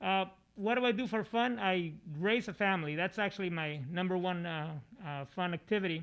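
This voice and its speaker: A man with a high voice and a Spanish accent, at a moderate pace with ordinary pitch variation. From Mexico, Mexicali. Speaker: assistant principal. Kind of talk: school broadcast interview. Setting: studio. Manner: hesitant, many fillers.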